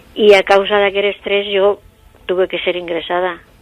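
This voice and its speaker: Over noticeable background noise, a woman talks at a moderate pace in a medium pitch. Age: 70s. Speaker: eyewitness. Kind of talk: testimony.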